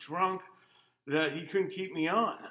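The man's voice has a bright, sharp tone. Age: 50s. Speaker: farmer and military veteran. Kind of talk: interview.

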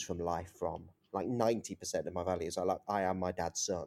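This man has an East Midlands accent. He talks at a fairly slow pace. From East Midlands, England (Leicester). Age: 30s. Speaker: journalist. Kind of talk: interview conversation. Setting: video call.

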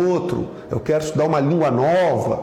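A man's fairly high-pitched voice at a fairly quick pace, fairly even in intonation, with audible room echo and noticeable background noise. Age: 40s. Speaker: pastor. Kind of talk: sermon.

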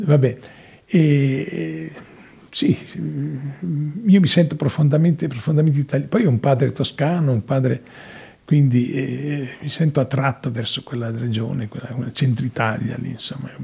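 A somewhat breathy man's voice at a fairly high pitch, with ordinary pitch variation and a fairly slow pace. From Italy. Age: 80s+. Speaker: actor and theatre director. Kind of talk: interview. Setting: studio. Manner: halting.

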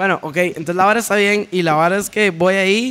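High-pitched and bright, a man speaks with a sharp tone. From Costa Rica, San Ramón. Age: 20s. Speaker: DJ and electronic music producer. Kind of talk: casual chat.

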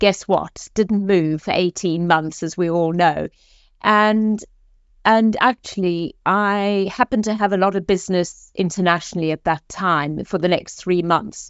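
A woman speaks with a South African accent at a medium pitch. Her pace is fairly slow and her intonation fairly even. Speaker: executive coach. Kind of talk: podcast interview.

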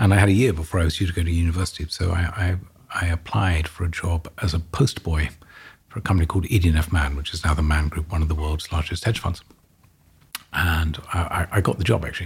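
In an English accent, a man with a very deep, low pitch speaks at a fairly quick pace, somewhat breathy, with fairly even intonation. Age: 50s. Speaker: real estate executive. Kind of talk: interview. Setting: studio.

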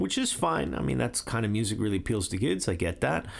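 A man speaks at a very fast pace. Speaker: radio podcast host and music writer. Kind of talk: solo radio show presenting music. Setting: studio.

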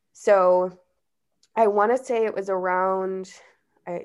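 The speaker is a woman with an American accent. Her voice sits at a medium pitch. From Chicago, Illinois. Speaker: cannabis marketing professional. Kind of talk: casual interview chat.

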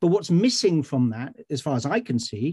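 Dry, close sound with no echo from a man, over a quiet background. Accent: South Wales. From Wales, Swansea. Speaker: writer. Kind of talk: panel discussion.

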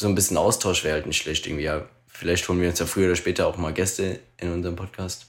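A man with a very deep, low pitch rushes along at a very fast pace. His intonation stays monotone and flat. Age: 30s. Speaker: podcast co-host. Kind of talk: casual chat.

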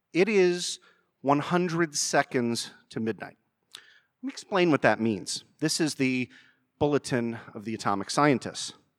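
Lively intonation at a fairly slow pace, in a dry, close sound with no echo. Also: man, fairly high pitch for a man. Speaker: lawyer and podcast host. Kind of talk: public talk with Q&A. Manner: animated.

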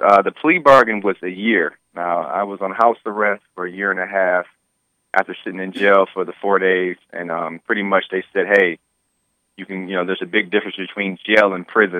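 This man has a fairly low pitch and a plain, everyday voice with an American accent. His loudness swings widely. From Detroit, US Midwest. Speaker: self-defense case defendant and mentor. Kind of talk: interview testimony.

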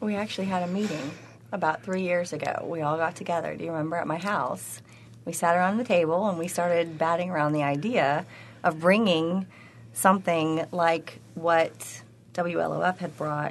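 A woman speaks with an American accent at a fairly low pitch. Her pitch variation is ordinary. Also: moderate pace. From Tennessee, US South. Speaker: conference organizer. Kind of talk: radio interview.

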